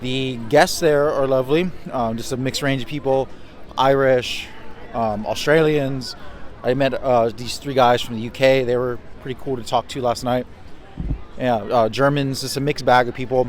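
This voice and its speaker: A man speaks with fairly even intonation. Noticeable background noise runs under his voice. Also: medium pitch for a man, moderate pace. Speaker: travel vlogger. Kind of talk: casual vlog talk to camera.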